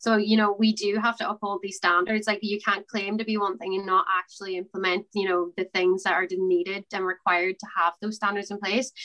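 A woman with an Irish accent at a very fast pace, medium-pitched with a bright, sharp tone and fairly even intonation, in a dry, close sound with no echo. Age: 20s. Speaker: student election candidate. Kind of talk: interview.

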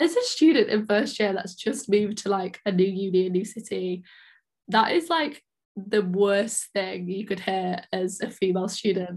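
A woman speaks in an English accent. Her voice is somewhat breathy. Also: medium pitch for a woman, ordinary pitch variation, moderate pace. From England, small town. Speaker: podcast host, university student. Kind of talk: casual chat.

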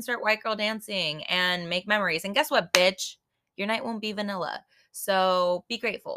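A woman's voice with a bright, sharp tone. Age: 20s. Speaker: podcast host. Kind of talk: casual monologue. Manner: animated.

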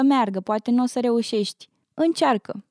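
A woman's high pitch with fairly even intonation, in a dry, close sound with no echo. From Romania. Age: 20s. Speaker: university student. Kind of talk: casual interview.

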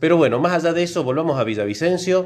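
A man speaks with lively intonation. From Argentina, Córdoba. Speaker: biologist, podcast co-host. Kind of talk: casual chat.

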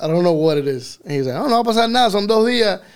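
Very fast speech comes from a man with ordinary pitch variation. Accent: Miami. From Miami, Florida, Cuban-American family. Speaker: reggaeton artist. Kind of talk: casual chat. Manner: mixes English and Spanish.

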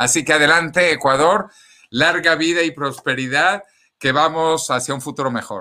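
This man has a fairly high pitch, ordinary pitch variation, and an animated tone. He speaks at a moderate pace on a very clean recording with a silent background. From Venezuela. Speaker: scientist and futurist author. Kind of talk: interview.

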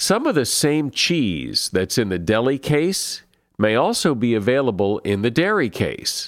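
On a very clean recording with a silent background, a man speaks at a fairly slow pace with very wide pitch swings. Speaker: podcast host. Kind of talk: podcast monologue.

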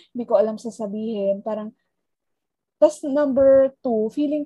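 At a moderate pace, a woman speaks with a somewhat breathy voice, a fairly high pitch and lively intonation. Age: 30s. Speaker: podcast co-host. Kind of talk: casual chat.

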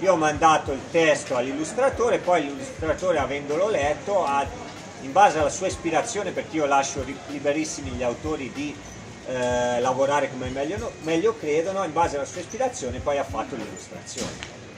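Against noticeable background noise, a man with a fairly high pitch and ordinary pitch variation speaks at a fairly quick pace. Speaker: magazine editor and writer. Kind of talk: presentation at a live event. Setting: live event with small audience.

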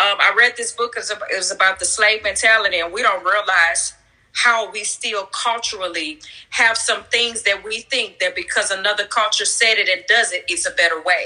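Through noticeable background noise, a woman speaks at a moderate pace, her fairly high pitch varying in an ordinary way. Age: 30s. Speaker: pastor. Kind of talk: casual chat. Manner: upbeat.

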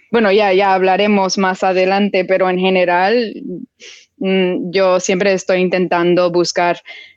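In a non-native accent, a woman at medium pitch speaks fairly slowly in a monotone, flat intonation with very even loudness. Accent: foreign accent in Spanish. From United States. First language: English (speaking Spanish). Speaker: film director and writer. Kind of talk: interview. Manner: halting.

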